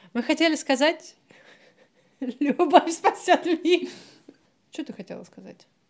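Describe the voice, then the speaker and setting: A woman speaks at an extremely high pitch, very slowly, with long, frequent pauses. Her loudness swings a lot while her pitch varies in an ordinary way. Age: 30s. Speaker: psychologist, podcast co-host. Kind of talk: casual chat.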